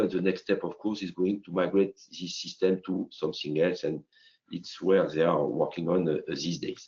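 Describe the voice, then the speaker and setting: A man speaks at a moderate pace with a strong French accent. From France. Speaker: company CEO presenting software. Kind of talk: business webinar presentation. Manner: halting with many fillers.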